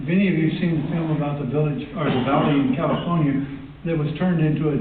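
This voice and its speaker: Speaking with a Texas accent, a man talks at a fairly quick pace and fairly high pitch with fairly even intonation, amid noticeable background noise and audible room echo. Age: 70s. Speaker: public commenter, landowner. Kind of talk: public comment at board meeting. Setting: public board meeting.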